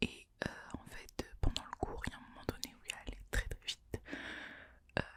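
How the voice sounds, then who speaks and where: A woman whispers at a moderate pace. Noticeable background noise runs underneath. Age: 20s. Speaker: ASMR creator. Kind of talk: casual talk to camera. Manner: whispered.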